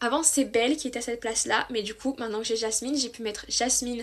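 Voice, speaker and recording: A woman speaks in a high pitch against a quiet background. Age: 20s. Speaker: book youtuber. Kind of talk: casual vlog monologue. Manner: chatty, enthusiastic.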